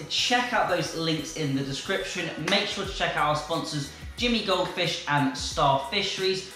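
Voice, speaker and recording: There is light background noise and audible room echo. A man speaks at a moderate pace. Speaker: fish-keeping channel host. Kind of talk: casual vlog chat. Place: home room.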